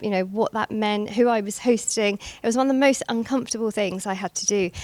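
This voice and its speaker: Recorded with a dry, close sound and no echo, a woman with a British accent speaks at a fairly high pitch. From England, London area. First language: Gujarati. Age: 40s. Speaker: banking executive. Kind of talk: speech at a networking event. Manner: hesitant, many fillers.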